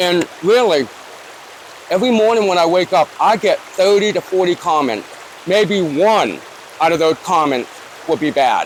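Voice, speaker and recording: A high-pitched man with an American accent at a moderate pace, with ordinary pitch variation, very even loudness, and long, frequent pauses amid noticeable background noise. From Newport, Rhode Island. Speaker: YouTuber. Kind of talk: interview. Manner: casual, conversational.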